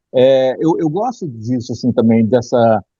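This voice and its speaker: A man with a normal speaking voice and medium pitch speaks with lively intonation. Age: 50s. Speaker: film critic. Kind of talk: casual chat.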